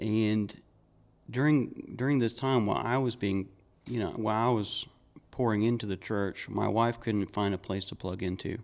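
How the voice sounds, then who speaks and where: Recorded very cleanly with a silent background, a man with an American accent, a fairly low pitch and an unremarkable speaking voice talks at a moderate pace with fairly even intonation. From Georgia, US. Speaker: church member. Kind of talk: testimony.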